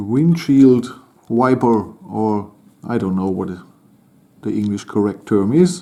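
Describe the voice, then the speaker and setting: Dark, mellow tone with lively intonation, a very slow pace and long, frequent pauses. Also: man, fairly low pitch for a man. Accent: German. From Germany. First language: German. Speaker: toy model building channel host. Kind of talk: building tutorial commentary. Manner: halting.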